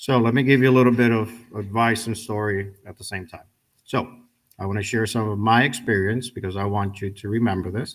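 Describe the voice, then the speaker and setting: This man has an ordinary speaking voice, with ordinary pitch variation and a moderate pace. The recording is very clean, with a silent background. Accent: American. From New York City. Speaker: guest speaker, welder and Navy veteran. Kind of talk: ceremony speech. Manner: conversational.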